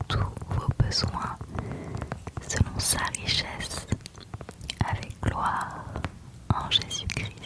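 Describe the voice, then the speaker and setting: The speaker whispers at a very slow pace, with long, frequent pauses. Noticeable background noise sits behind the voice. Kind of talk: ASMR Bible verse reading. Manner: whispered; soft-spoken, slow.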